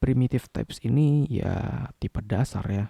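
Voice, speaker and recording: A man's dark, mellow voice with vocal fry, dry and close with no echo. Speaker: programming tutor. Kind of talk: coding tutorial narration.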